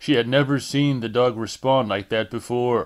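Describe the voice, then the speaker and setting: A plain, everyday voice from a man, medium in pitch, fairly slow, with ordinary pitch variation, on a very clean recording with a silent background. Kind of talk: audiobook narration.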